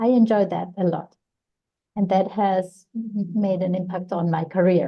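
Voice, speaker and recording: Somewhat breathy and medium in pitch, a woman speaks at a fairly slow pace with fairly even intonation. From Colombia, Bogotá. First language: Spanish. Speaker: psychologist and career counselor. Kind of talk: interview. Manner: halting, with frequent repetitions.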